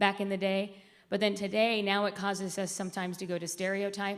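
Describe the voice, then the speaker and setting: With audible room echo, a woman talks fairly quickly at a medium pitch. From US South, raised outside Atlanta, Georgia. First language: Spanish. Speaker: diversity and inclusion executive. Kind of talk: conference presentation.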